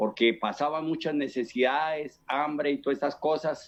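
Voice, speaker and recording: A man's fairly high voice at a fairly slow pace. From Colombia, Boyacá (Chiquinquirá). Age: 60s. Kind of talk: testimony. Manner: halting, many fillers and repetitions.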